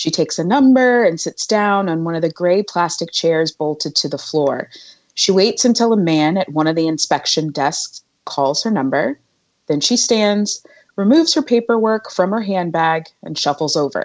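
With an unremarkable speaking voice, a woman talks at a moderate pace and fairly low pitch with lively intonation. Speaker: guest reader. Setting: video call.

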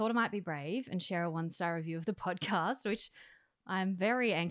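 Ordinary pitch variation in plain reading aloud, the background quiet

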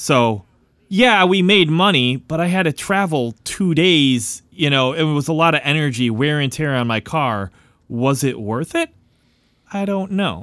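A man with an American accent speaks in an ordinary speaking voice, fairly high in pitch, at a fairly slow pace. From Chicago, US Midwest. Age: 30s. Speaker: singer-songwriter. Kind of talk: casual chat.

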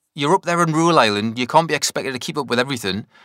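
In a dry, close recording with no echo, a man speaks at a very fast pace with a bright, sharp tone, vocal fry and lively intonation. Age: 20s. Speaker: podcast host. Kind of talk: casual chat. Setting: video call. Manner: halting.

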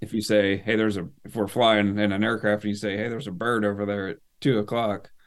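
Very fast and in monotone, flat intonation, a man speaks with an American accent. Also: fairly low pitch for a man. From US Northeast (northern Maine). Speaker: military veteran and helicopter pilot. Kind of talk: casual interview chat.

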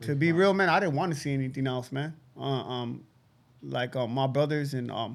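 A man of medium pitch talks at a moderate pace, with vocal fry and ordinary pitch variation.

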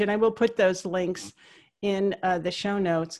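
A woman talks at a moderate pace and medium pitch in an unremarkable speaking voice. The background is quiet. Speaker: podcast host. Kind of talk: interview conversation. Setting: phone call.

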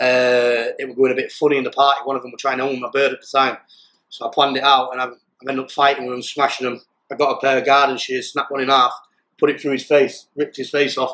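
Talking at a very fast pace with a South Yorkshire accent, a man keeps a monotone, flat intonation at medium pitch while his loudness swings widely. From South Yorkshire, England (pit village near Doncaster). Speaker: ex-prisoner turned fighter. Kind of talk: interview.

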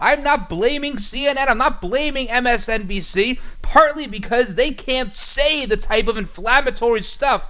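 A man with an American accent projects a raised voice at an extremely high pitch, bright and sharp in tone, with lively intonation and a fairly slow pace. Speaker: radio host. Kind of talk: conservative talk radio monologue; infomercial-style sponsor read, salesy pitch. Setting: studio. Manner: opinionated, punchy; upbeat, persuasive, brisk.

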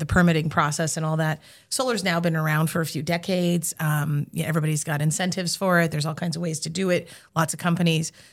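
A woman speaks at a very fast pace with fairly even intonation and fairly low pitch. The recording is very clean, with a silent background. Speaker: podcast co-host. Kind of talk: casual interview.

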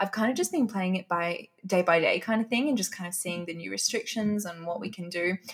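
A woman with an Australian accent speaks at a medium pitch with ordinary pitch variation. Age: 20s. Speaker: health and fitness influencer. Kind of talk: interview. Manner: animated.

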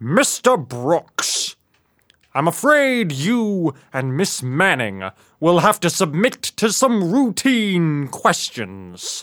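A man with a high voice speaks at a very slow pace, his pitch swinging very widely. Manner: measured, quietly triumphant.

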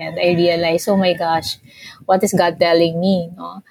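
The woman's voice is somewhat breathy. The sound is dry and close, with no echo. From Philippines. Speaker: pastoral worker and practical theologian. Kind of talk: interview conversation.

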